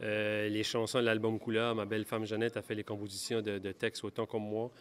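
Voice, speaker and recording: A man speaks with light background noise behind him. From Acadia, New Brunswick. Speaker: country singer-songwriter. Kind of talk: interview. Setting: awards gala. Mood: grateful, upbeat. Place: hall. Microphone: handheld.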